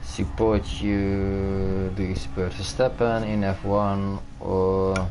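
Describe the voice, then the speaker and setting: Against noticeable background noise and audible room echo, a man speaks very slowly in a fairly low pitch with fairly even intonation. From Netherlands. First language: Dutch. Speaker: gaming streamer. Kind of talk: casual chat.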